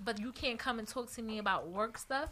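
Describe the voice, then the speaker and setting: A woman with a plain, everyday voice talks at a fairly quick pace in a fairly high pitch. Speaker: podcast co-host. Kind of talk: casual chat.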